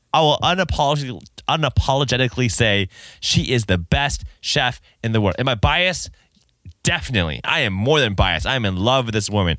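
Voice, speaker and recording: A man with a medium pitch and a bright, sharp, animated tone speaks at a very fast pace with very wide pitch swings and vocal fry, on a very clean recording with a silent background. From Japanese heritage. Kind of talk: bible teaching talk. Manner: casual.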